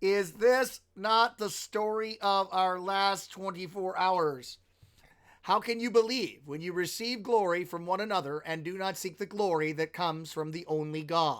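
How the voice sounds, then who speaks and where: Speaking at a moderate pace with an American accent, a man with a high pitch shows ordinary pitch variation in a very clean recording with a silent background. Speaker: pastor teaching bible study. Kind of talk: live-streamed bible study. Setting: live stream. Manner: animated.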